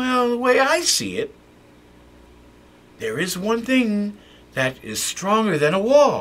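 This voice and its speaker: In a high, put-on character voice, a man talks at a fairly slow pace, leaving long, frequent pauses. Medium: read story. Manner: excitable, chatty.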